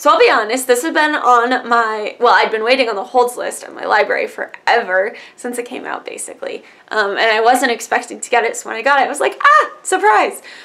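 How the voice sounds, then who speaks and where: A woman at a fairly quick pace, with big swings in loudness and noticeable background noise. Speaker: book youtuber. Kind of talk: casual book review monologue. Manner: fast.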